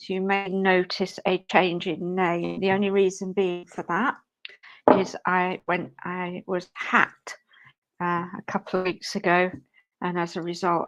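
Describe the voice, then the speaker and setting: Speaking with a British accent, a woman talks fairly slowly in a medium-pitched voice with monotone, flat intonation. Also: dry, close sound with no echo. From UK. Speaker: spiritual medium and live stream co-host. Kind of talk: live stream chat. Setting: live stream.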